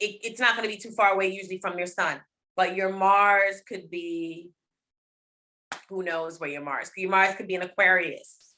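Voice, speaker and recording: Bright, sharp female voice of medium pitch in an American accent, with fairly even intonation, a moderate pace and big swings in loudness. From US East Coast, Baltimore. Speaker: rapper and astrologer. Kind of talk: casual interview, explaining astrology.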